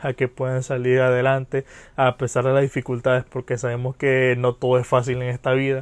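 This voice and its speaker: A man's medium-pitched voice at a moderate pace, in a dry, close recording with no echo. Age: 20s. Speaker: podcaster and psychology student. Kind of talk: casual monologue. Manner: hesitant, many fillers.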